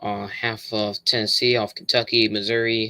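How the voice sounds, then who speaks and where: Here is a man with a fairly low pitch and a bright, sharp tone. He keeps a moderate pace in a monotone, flat intonation. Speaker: weather livestreamer. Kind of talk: live stream weather update. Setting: live stream. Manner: casual, halting with fillers.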